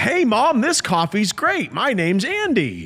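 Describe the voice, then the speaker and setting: A put-on character voice. The pitch sits fairly high. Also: moderate pace. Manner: loud, fake-cheery.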